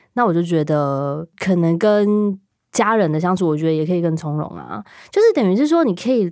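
Lively intonation marks a woman's unremarkable speaking voice as she talks at a moderate pace in a very clean recording with a silent background. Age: 30s. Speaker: clothing designer. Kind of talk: casual chat.

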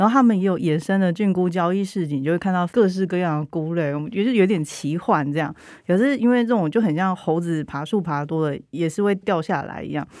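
A woman talks in a fairly low voice with a Taiwanese accent. The recording is very clean and the background silent. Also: ordinary pitch variation, fairly quick pace. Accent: Taiwanese Mandarin. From central Taiwan (Changhua). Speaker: writer with anthropology background. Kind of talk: casual chat.

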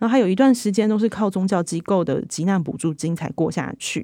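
Speaking with a Taiwanese accent, a woman has a dark, mellow tone at medium pitch with ordinary pitch variation. Her pace is moderate, in a very clean recording with a silent background. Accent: Taiwanese Mandarin. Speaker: magazine reporter. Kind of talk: interview discussion.

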